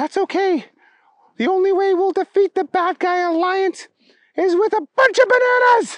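Pitched extremely high, the speaker performs a put-on character voice. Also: moderate pace. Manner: wild, excitable.

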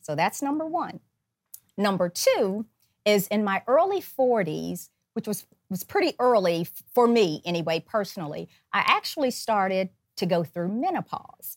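In a dry, close sound with no echo, a woman at a medium pitch speaks at a moderate pace with very wide pitch swings. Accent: American. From US South, northern Alabama. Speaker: podcast host. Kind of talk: monologue introduction. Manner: animated.

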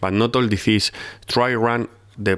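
On a very clean recording with a silent background, a man speaks at a fairly slow pace in a monotone, flat intonation. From Spain, Madrid. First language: Spanish. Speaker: football sporting director. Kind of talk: interview.

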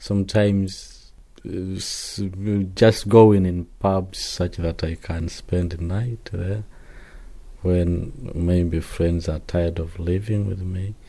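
A man speaks at a very slow pace in a very deep, low pitch. His tone is dark and mellow, somewhat breathy, with monotone, flat intonation. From Zimbabwe. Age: 20s. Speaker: failed asylum seeker. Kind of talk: testimony. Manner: halting.

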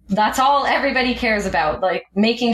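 A woman talks at a moderate pace with ordinary pitch variation in a Canadian accent. It is a normal speaking voice. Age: 20s. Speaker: aircraft maintenance engineer. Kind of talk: interview.

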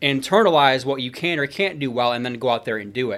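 Over a silent background in a very clean recording, a man with an American accent talks at a fairly quick pace in a plain, everyday voice, at medium pitch with ordinary pitch variation. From Michigan, small town. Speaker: sales coach and human performance expert. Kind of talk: casual interview.

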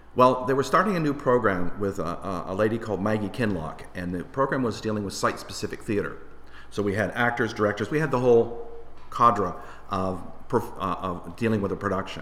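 In a Canadian accent, a man with a normal speaking voice talks at a fairly quick pace, his fairly low pitch showing ordinary variation. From Windsor, Ontario, Canada. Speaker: lighting designer. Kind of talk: casual interview chat.

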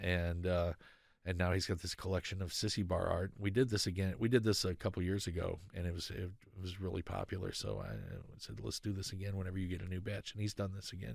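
Very fast speech from a man with a very deep, low pitch and an American accent, on a very clean recording with a silent background. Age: 50s. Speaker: sound engineer and motorcycle builder. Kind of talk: casual interview. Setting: studio.

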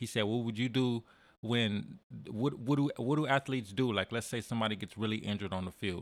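An ordinary speaking voice from a man with an American accent, fairly quick pace, ordinary pitch variation, very clean recording over a silent background. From San Diego, California. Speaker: musician. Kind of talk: casual chat.

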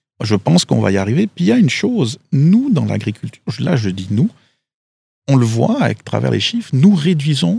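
A man at a moderate pace, in a dry, close sound with no echo. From Switzerland, Valais. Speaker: agricultural expert. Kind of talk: interview. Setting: outdoors.

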